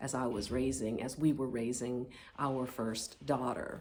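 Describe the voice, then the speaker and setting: The speaker has an American accent and a flat, monotone delivery. Audible room echo surrounds the voice. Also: woman. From US Midwest, Indianapolis, Indiana. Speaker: author. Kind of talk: personal pitch video. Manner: halting.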